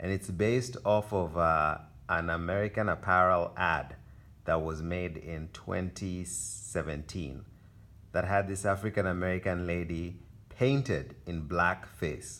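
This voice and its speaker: A man speaks with a very deep, low pitch and a bright, sharp tone. His pace is fairly slow, his pitch variation is ordinary, and the recording is very clean with a silent background. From Kenya. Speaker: artist. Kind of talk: casual gallery tour talk. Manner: hesitant, many fillers.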